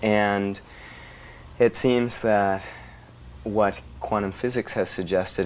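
A man's fairly slow delivery and fairly even intonation come through noticeable background noise. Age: young. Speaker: body worker and Gestalt therapist. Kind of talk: interview. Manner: hesitant with fillers.

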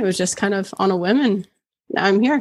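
A woman talks in a normal speaking voice at a fairly quick pace, her medium pitch showing ordinary variation. The recording is very clean, with a silent background. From Oshawa, Ontario, Canada. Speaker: golf content creator. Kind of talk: casual chat.

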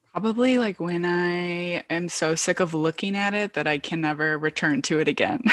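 With an unremarkable speaking voice, a woman speaks at a fairly low pitch and a moderate pace, using ordinary pitch variation, in a dry, close sound with no echo. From Michigan. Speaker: poet and writer. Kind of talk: casual interview chat. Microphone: poor internet connection, cuts out.

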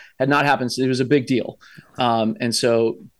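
Fairly even intonation carries speech that moves at a fairly quick pace. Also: man. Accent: American. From US Midwest (Columbus, Ohio). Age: 40s. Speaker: army chaplain and veteran. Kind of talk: casual interview conversation.

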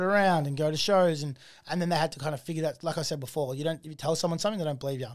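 Speaking with an Australian accent, a man uses a fairly high pitch. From Australia, Melbourne area. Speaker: artist manager and festival founder. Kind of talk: casual interview chat. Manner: animated.

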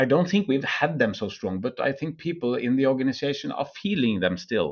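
With a Norwegian accent, a man speaks at a moderate pace, his fairly high pitch making very wide swings. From Norway. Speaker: energy company CEO. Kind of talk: interview. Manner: halting.

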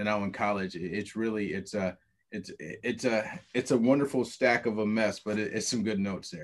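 Talking at a moderate pace, a man uses a fairly low pitch and fairly even intonation. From Ohio, Toledo east side. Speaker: basketball coach. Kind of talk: interview. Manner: halting.

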